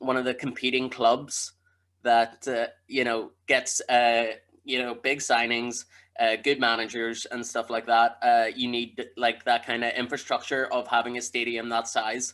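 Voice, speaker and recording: A man talks at a fairly slow pace with a medium pitch and a bright, sharp tone, in a Northern Irish accent. His intonation is monotone and flat, and the recording is very clean with a silent background. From Belfast, Northern Ireland. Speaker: comedian. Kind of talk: casual podcast interview answer.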